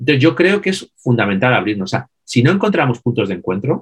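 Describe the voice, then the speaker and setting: This man's voice sits at a medium pitch and sounds somewhat breathy, with very wide pitch swings. The recording is dry and close, with no echo. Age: 50s. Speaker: business consultant and author. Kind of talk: interview.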